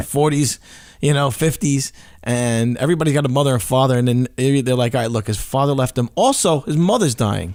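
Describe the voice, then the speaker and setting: At a fairly quick pace, a man with an unremarkable speaking voice talks at a medium pitch, with ordinary pitch variation and very even loudness. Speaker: podcast host. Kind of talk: casual interview questions.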